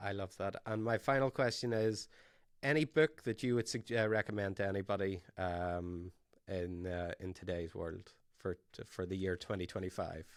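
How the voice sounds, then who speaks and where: A man's fairly low voice with an Irish accent, moderate pace and ordinary pitch variation, in a very clean recording with a silent background. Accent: Irish brogue. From Ireland. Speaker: podcast host, tech company founder. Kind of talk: interview podcast.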